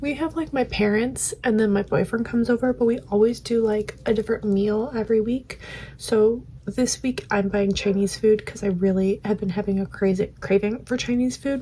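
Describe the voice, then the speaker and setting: Fairly even intonation from a woman with an American accent, at a fairly high pitch and moderate pace. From Michigan, US. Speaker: ASMR creator. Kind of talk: ASMR get-ready-with-me chat. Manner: soft-spoken, whispery; getting louder over the video.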